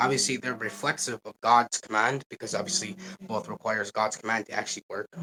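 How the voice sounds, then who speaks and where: A man talking very fast, ordinary pitch variation, dry close sound with no echo. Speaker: online debater. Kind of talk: debate. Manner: halting, stuttering.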